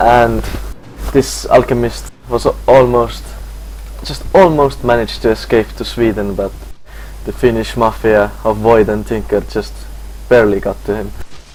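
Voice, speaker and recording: A man talks at a moderate pace with long, frequent pauses, and there is noticeable background noise. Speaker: game commentator. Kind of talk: esports commentary.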